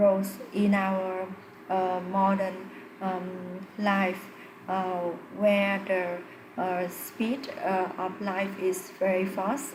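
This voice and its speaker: Over noticeable background noise and audible room echo, a woman with a non-native accent and medium pitch speaks at a very slow pace in a monotone, flat intonation. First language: not English. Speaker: English learner doing test practice. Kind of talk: spoken exam practice answer. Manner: halting, many fillers.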